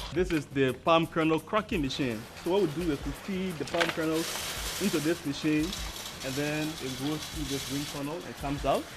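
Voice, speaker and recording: Music plays in the background. The speech has ordinary pitch variation and a moderate pace. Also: man, fairly high pitch for a man. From Liberia. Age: 20s. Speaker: entrepreneur. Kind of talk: guided tour. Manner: halting.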